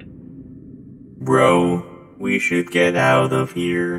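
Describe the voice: A man uses a cartoonish character voice, raspy and very deep in pitch. There is clear echo and light background noise.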